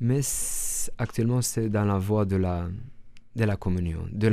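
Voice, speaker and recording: With a Romanian accent, a man speaks slowly-ish in a fairly low, dark, mellow voice with fairly even intonation. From Romania, northern Transylvania. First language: Romanian (speaking French). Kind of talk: radio interview. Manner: halting, many repetitions and fillers.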